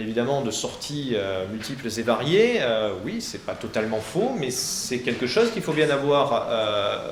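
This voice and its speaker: A man talks with audible echo in the room. Background noise is noticeable. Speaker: law professor. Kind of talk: presentation to high school students. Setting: lecture hall. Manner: fast; hesitant, many fillers.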